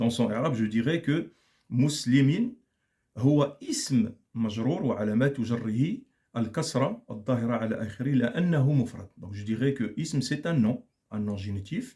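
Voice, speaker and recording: A man's somewhat breathy, dark, mellow voice at a medium pitch, with ordinary pitch variation and a fairly slow pace. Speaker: Arabic grammar teacher. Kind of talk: lecture.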